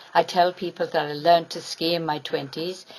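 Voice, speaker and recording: A woman with an American accent speaks at a moderate pace amid noticeable background noise. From England. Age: 70s. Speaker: award recipient, former amputee advocacy leader and nurse. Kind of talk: acceptance speech. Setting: award ceremony with audience.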